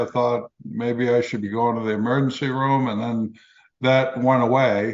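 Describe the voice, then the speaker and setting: Here a man talks at a medium pitch and moderate pace. His intonation is monotone and flat. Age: 60s. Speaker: cancer survivor and author. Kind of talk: interview testimony. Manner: halting, many fillers.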